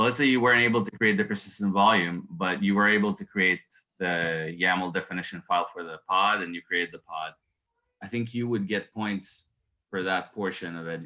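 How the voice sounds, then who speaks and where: A man with a non-native accent, fairly low in pitch and bright and sharp in tone, at a fairly quick pace with ordinary pitch variation. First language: not English. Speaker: certified Kubernetes admin sharing exam experience. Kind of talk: casual group discussion.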